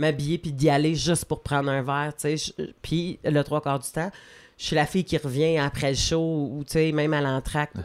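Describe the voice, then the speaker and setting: On a very clean recording with a silent background, a woman with a very deep, low pitch speaks at a moderate pace in a monotone, flat intonation. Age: 40s. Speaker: comedian. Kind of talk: casual chat.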